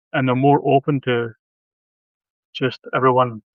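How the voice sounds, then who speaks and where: In a Scottish accent, a man is talking. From Scotland. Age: 50s. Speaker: horror author. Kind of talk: casual chat. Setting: live video stream.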